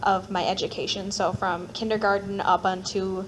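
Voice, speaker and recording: A woman with a Minnesota accent, medium pitch, moderate pace. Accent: Upper Midwest (Minnesota). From Minneapolis, Minnesota. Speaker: panelist sharing personal story. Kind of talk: personal testimony at panel. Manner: casual, filler-heavy.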